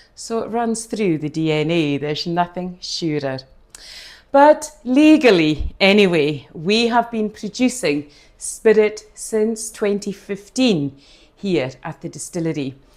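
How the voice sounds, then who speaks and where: Speaking in a Hebridean accent, a woman at medium pitch goes at a fairly slow pace with very wide pitch swings. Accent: Hebridean Scottish. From Scotland, Outer Hebrides (Scalpay, Harris). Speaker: distillery tour guide. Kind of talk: guided tasting talk. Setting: distillery tasting room. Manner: hesitant fillers (eh).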